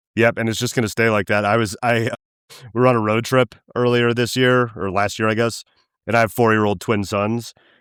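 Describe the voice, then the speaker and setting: With an American accent, a man speaks at a fairly quick pace and medium pitch in a monotone, flat intonation, the sound dry and close with no echo. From western Colorado. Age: 40s. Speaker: podcast host. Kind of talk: interview. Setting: remote call.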